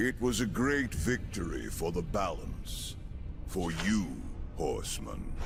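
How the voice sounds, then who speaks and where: Through loud background noise, a man performs a put-on character voice at a fairly slow pace. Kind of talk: archaic formal speech. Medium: video game. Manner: solemn, formal.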